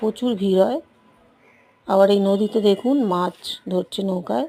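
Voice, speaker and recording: Here is a woman with an ordinary speaking voice at a medium pitch. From West Bengal, South 24 Parganas. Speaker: travel vlogger. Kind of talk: travel vlog narration. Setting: outdoors.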